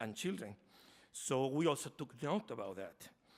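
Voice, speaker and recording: This man speaks with a Spanish accent. His pitch is fairly high. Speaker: foundation representative. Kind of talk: conference talk. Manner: slow; halting.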